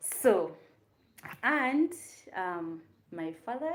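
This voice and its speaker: A woman with a Ugandan accent talks with lively intonation. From Uganda, Kampala. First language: Luganda. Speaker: YouTube content creator. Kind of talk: casual livestream chat. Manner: chatty, hesitant with fillers.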